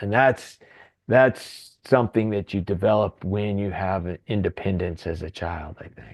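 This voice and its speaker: Against a quiet background, a man with a fairly low pitch talks at a fairly slow pace with ordinary pitch variation. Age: 60s. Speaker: author. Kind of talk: interview. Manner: halting, repeats words.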